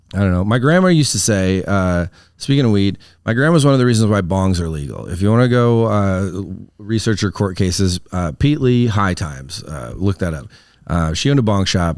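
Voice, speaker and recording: In a Wisconsin accent, a man talks at a fairly quick pace and a fairly low pitch with lively intonation. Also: very clean recording, silent background. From Wisconsin, US Midwest. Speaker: comedian. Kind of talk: casual chat. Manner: words mushed together.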